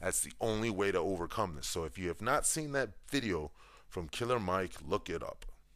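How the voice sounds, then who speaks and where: With an American accent, a man speaks in an animated tone at a fairly quick pace. The recording is very clean, with a silent background. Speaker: podcast host. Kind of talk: opinion monologue.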